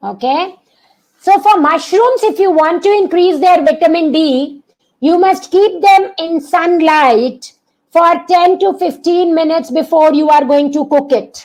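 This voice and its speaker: A woman speaks loudly in an extremely high pitch, her tone animated. Her pace is fairly slow and her pitch varies in an ordinary way. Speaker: doctor giving a health webinar. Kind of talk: online masterclass webinar. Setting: online video session. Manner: animated, engaging the audience.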